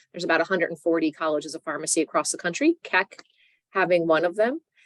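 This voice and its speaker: With an American accent, a woman talks at a very fast pace in a fairly low pitch with fairly even intonation, the sound dry and close with no echo. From New Jersey. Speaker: professor. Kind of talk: lecture.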